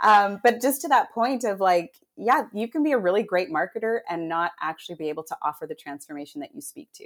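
A woman of medium pitch talks at a fairly quick pace with hardly any pauses, her pitch swinging very widely and her loudness swinging greatly. The recording is very clean with a silent background. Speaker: human design coach. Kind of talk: casual interview chat.

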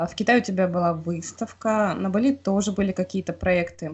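A woman talks at a moderate pace in a medium pitch with ordinary pitch variation. Her voice is somewhat breathy. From Russia, Khanty-Mansi region. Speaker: podcast host. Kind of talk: interview. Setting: remote call.

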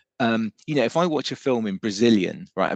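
A man with an English accent talks at a fairly quick pace, his dry, close sound free of echo against a quiet background. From England, raised partly in Germany among British forces families. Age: 50s. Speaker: musician. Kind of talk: casual interview chat.

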